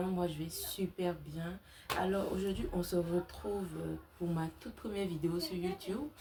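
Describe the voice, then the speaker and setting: The speech comes at a fairly slow pace with ordinary pitch variation. Noticeable background noise sits behind it. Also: woman. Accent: slight non-native. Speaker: crochet content creator. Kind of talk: tutorial. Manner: casual, with many fillers.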